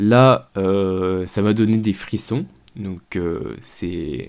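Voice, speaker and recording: A man's very deep, low voice. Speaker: YouTube reactor. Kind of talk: video reaction commentary. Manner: slow, calm; halting, many fillers.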